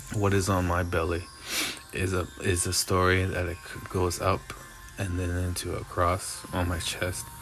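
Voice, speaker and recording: A man speaks at a fairly slow pace in a very deep, low pitch with a monotone, flat intonation. Noticeable background noise and audible room echo surround the voice. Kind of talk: improvised spoken-word monologue. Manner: halting.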